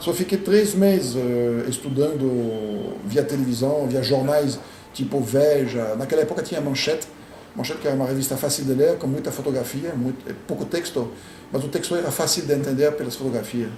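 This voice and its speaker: Amid noticeable background noise and audible room echo, a man with a French accent and a fairly high pitch speaks at a moderate pace with ordinary pitch variation. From France. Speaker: immigrant professional. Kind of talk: interview. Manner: halting.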